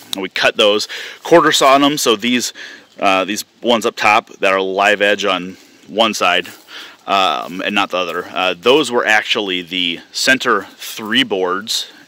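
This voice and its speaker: A man's ordinary speaking voice, fairly low in pitch with ordinary pitch variation, in a dry sound with no echo. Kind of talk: casual walkthrough commentary. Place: open country. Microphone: phone near.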